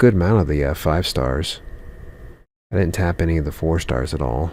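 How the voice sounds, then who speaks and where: Quiet and at a moderate pace, a man speaks with a very deep, low pitch, ordinary pitch variation and vocal fry. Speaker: gaming youtuber. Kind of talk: gameplay commentary. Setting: at home. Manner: quiet, kept down.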